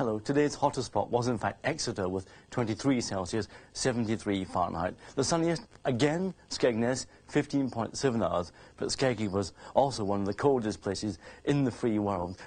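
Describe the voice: A man's fairly low voice with lively intonation, a slightly mellow tone, a slightly husky edge and few pauses. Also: moderate pace.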